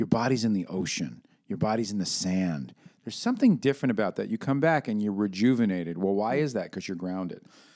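A man with a fairly low pitch, a dark, mellow tone, lively intonation and a very fast pace, in a very clean recording with a silent background. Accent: American. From New York City. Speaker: podcast host. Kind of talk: casual banter, podcast chat. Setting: recording studio. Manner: casual, talkative, joking.

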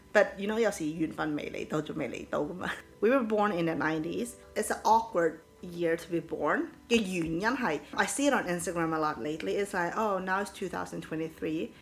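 A woman's fairly low voice at a fairly slow pace, with lively intonation and music in the background. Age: 30s. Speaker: podcast co-host. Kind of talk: casual chat.

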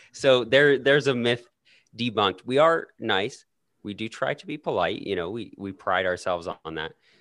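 This man has an ordinary speaking voice with a Canadian accent, a medium pitch, lively intonation and big swings in loudness. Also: moderate pace. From Canada. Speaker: podcaster guest. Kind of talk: casual chat.

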